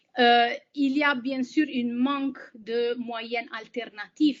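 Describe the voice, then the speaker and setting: A woman's high-pitched voice with a non-native accent. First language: not French (speaking French). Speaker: humanitarian aid worker. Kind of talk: webinar presentation. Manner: halting, many hesitations.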